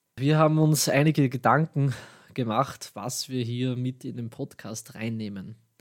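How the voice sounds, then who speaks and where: A man with an Austrian accent talks at a fairly slow pace in a medium pitch, with fairly even intonation, on a very clean recording with a silent background. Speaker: podcast host. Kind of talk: scripted tech news podcast.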